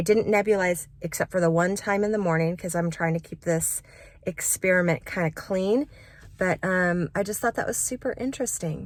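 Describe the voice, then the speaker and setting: A woman speaks at a moderate pace in an ordinary speaking voice, with medium pitch and ordinary pitch variation, on a very clean recording with a silent background. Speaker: vocal coach. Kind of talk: casual vlog talk to camera.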